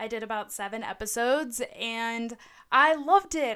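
A woman speaks with an American accent in an animated, bright, sharp tone, using ordinary pitch variation. The recording is very clean, with a silent background. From Southern California, LA County. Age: 20s. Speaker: podcaster. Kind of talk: solo monologue podcast. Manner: animated, laughing often.

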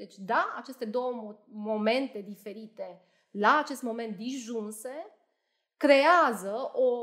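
The recording is very clean, with a silent background. A woman talks at a high pitch with ordinary pitch variation. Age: 30s. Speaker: judge. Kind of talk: interview.

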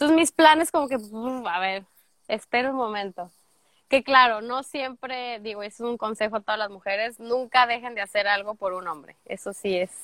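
A woman's bright, sharp voice at a fairly high pitch with ordinary pitch variation, in a dry, close sound with no echo on a very clean recording with a silent background. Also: moderate pace, big swings in loudness. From Mexico, Guadalajara (Jalisco). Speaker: au pair turned immigrant sharing her story. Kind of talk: casual interview chat.

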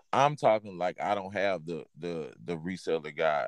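A man with an American accent speaks at a fairly slow pace in an ordinary speaking voice, with lively intonation, in a dry, close sound with no echo on a very clean recording with a silent background. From Texas. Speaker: podcast host, clothing reseller. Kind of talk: casual chat.

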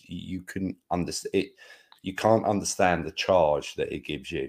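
A man with a southern English accent on a very clean recording with a silent background. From England. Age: 50s. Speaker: podcast co-host. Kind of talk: casual chat.

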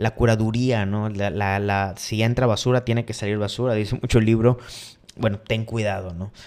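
A man with a fairly low pitch speaks in a monotone, flat delivery at a moderate pace. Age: 30s. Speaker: podcast host. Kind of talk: casual monologue live stream.

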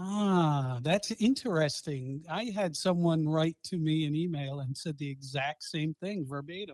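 A man with a Boston accent talks at a fairly slow pace in a fairly high pitch, with hardly any pauses. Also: ordinary pitch variation. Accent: Boston accent, noticeable, drops R's. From Boston, Massachusetts. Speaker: podcaster. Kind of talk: casual chat.

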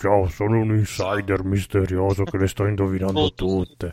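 Putting on a character voice, a man speaks fairly low at a moderate pace, with monotone, flat intonation and very even loudness. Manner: mysterious, playful.

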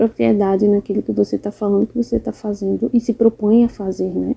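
Somewhat breathy and dark, mellow in tone, this woman's voice comes across dry and close with no echo. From Brazil, interior of Rio Grande do Norte. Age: 20s. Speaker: fashion designer and journalism student. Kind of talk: interview.

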